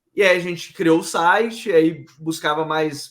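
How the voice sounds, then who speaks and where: The man's high voice carries lively intonation. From Brazil, Pará (Belém). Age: 20s. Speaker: football content head. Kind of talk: podcast interview. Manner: casual, relaxed.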